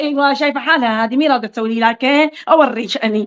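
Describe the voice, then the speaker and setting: Speaking very fast in an animated tone, a woman talks with a Qatifi accent. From Qatif, Eastern Province, Saudi Arabia. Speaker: social media live streamer. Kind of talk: casual chat on a live stream. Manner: informal.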